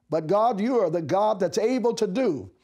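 A man speaks fairly slowly in a high voice with a dark, mellow tone. The background is quiet. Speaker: bishop. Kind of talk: sermon, devotional message to camera; fervent prayer, petitioning aloud to God. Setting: office, recorded video message. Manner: earnest, encouraging, preacherly; impassioned, rising fervent pleading tone. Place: studio. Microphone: lapel.

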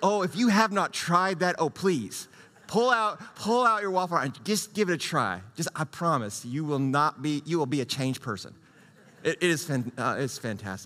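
A bright, sharp tone marks a man talking at a moderate rate. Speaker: pastor. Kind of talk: sermon. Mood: jovial, laughing. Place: church. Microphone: headset.

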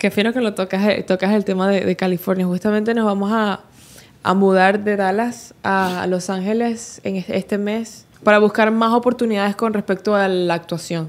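A woman's voice at a moderate pace, with monotone, flat intonation. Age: 20s. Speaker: social media dancer and content creator; content creator. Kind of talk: interview. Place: studio. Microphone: studio mic.

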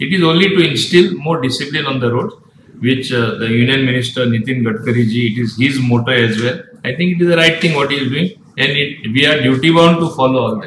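Speech comes at a very fast pace, with audible room echo and light background noise. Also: man, ordinary pitch variation. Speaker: state minister. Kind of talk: interview answer. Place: office.

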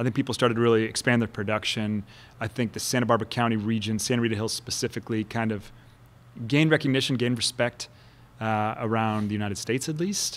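A very fast pace with fairly even intonation. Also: man. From Kansas City. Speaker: winemaker; guest. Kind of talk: casual chat. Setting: winery. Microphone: studio mic.

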